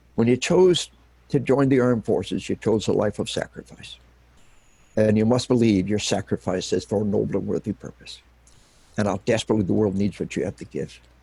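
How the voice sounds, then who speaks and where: A man with a fairly low pitch and a dark, mellow tone speaks at a fairly quick pace with ordinary pitch variation and some vocal fry, recorded dry and close with no echo. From Arkansas. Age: 60s. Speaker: retired army officer and military psychology author. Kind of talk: interview. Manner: impassioned, emphatic.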